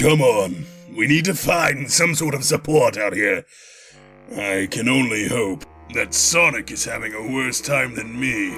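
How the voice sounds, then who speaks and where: A man puts on a raspy character voice at medium pitch. He talks at a moderate pace with clear music in the background. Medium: fan dub. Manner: irritable, blustering.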